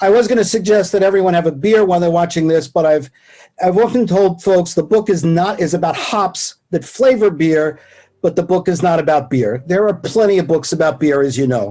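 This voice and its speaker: Speaking at a fairly quick pace, a man uses a high pitch with a dark, mellow tone, very even loudness and ordinary pitch variation. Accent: New York. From New York. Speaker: professor emeritus. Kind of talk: lecture. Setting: video call.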